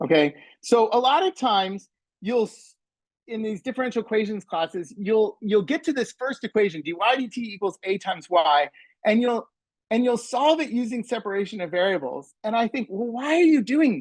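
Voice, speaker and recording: With an American accent, a man speaks at a moderate pace in a high pitch, his intonation lively and his loudness swinging widely. The sound is dry and close with no echo, against a quiet background. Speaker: math professor. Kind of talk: conference presentation. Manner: halting, many fillers and repeats; sarcastic, in jest.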